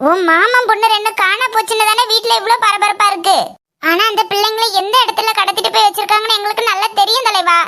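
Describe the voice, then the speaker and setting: A cartoonish character voice at an extremely high pitch speaks at a moderate pace. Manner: wheedling, repeats the word for boss.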